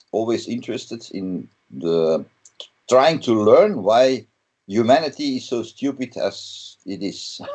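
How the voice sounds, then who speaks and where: A man with a Flemish accent, fairly slow in pace, his loudness swinging widely. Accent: Flemish Dutch accent in English. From Belgium (Flanders). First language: Dutch. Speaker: metal guitarist. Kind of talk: interview. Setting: video call. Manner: halting, many fillers.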